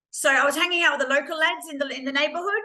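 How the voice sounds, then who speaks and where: A woman's tone is bright and sharp. Her pitch varies in an ordinary way. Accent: Australian. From Queensland, Australia. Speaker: lived experience speaker. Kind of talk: testimony. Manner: hesitant, many ums.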